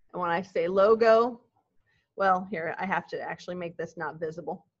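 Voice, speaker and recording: An unremarkable speaking voice from a woman at medium pitch, moderate in pace with fairly even intonation, against a quiet background. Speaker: web development teacher. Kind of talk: classroom lecture. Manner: casual, conversational.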